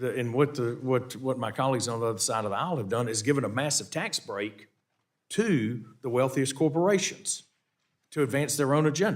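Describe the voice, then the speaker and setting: A man's medium-pitched voice in a Southern US accent, fairly quick and with lively intonation, on a very clean recording with a silent background. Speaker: congressman chairing hearing. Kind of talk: committee hearing questioning. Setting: congressional hearing room. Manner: halting, many repetitions.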